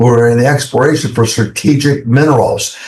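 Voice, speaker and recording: A somewhat breathy, medium-pitched man's voice with fairly even intonation. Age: 70s. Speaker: investment fund executive. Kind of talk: interview. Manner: hesitant with many fillers.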